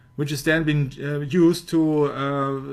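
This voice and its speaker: Very slow speech from a man with a fairly high pitch. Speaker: researcher presenting a study. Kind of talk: discussion of a prepared study. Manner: halting, with frequent fillers.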